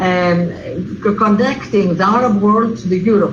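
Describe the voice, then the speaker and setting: Through noticeable background noise and audible room echo, a woman talks at a moderate pace and medium pitch with ordinary pitch variation. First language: Greek. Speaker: diplomat. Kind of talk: Q&A session. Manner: halting, many fillers.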